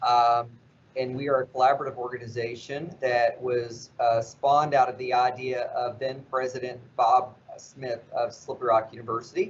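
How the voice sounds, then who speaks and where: Moderately paced and monotone with flat intonation, a man talks at a medium pitch with a slight West Virginia accent. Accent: slight southern, West Virginia. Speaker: nonprofit CEO. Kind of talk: interview.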